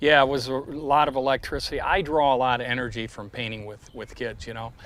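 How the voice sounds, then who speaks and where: A very fast delivery with a Midwestern accent. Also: man, medium pitch for a man. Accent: American Midwestern. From US Midwest, Detroit. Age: 60s. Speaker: artist. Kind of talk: interview conversation. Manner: animated.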